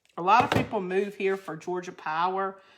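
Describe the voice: In a Southern US accent, the speaker is heard on a very clean recording with a silent background. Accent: Southern country drawl.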